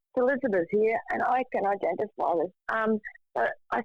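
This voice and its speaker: A plain, everyday voice: a woman with fairly high pitch, fairly slow pace and ordinary pitch variation. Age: 60s. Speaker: panelist with lived mental health experience. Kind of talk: casual chat.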